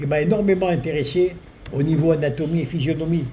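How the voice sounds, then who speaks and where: There is audible room echo and noticeable background noise as a man with a fairly high pitch and ordinary pitch variation talks at a moderate pace. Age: 70s. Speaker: spiritual healer. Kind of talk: talk to an audience. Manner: hesitant, with fillers. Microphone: too quiet for the back, needs to be closer.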